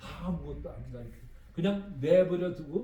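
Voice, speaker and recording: Audible room echo follows a man whose high-pitched voice moves at a fairly slow pace. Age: 70s. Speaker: missionary. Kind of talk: sermon. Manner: halting.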